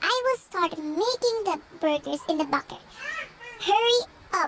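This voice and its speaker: A woman puts on a squeaky character voice at an extremely high pitch with very wide pitch swings. She keeps a moderate pace and very even loudness. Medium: game stream. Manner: bossy.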